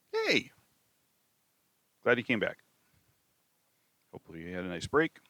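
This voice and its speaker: A man with a southern Wisconsin accent talks at a very fast pace. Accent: own southern Wisconsin. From southern Wisconsin, US Midwest. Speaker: math teacher. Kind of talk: tutorial. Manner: casual, with many fillers.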